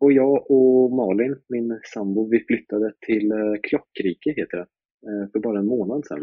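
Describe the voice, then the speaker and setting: A man with an ordinary speaking voice talks at a moderate pace, in a medium pitch with ordinary pitch variation. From Sweden, Östergötland (Malmslätt near Linköping). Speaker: drift racing driver. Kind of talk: casual interview.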